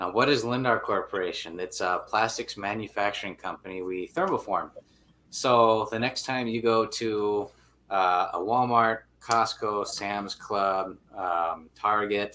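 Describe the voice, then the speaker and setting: The tone is bright and sharp, with fairly even intonation at a fairly slow pace. The recording is very clean, with a silent background. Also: man, fairly low pitch for a man. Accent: Upper Midwest. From Minnesota, Brainerd area. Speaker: angler and businessman. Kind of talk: interview. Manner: casual, filler-heavy.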